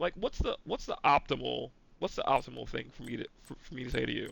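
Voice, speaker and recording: A man talks at a fairly quick speed while noticeable noise fills the background. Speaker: gaming streamer. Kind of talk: casual chat while gaming. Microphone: gaming headset mic, poor quality.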